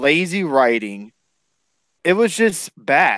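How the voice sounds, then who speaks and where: Speaking at a very slow pace, a man comes across in a dry, close sound with no echo. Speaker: wrestling podcast host. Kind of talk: podcast recap show.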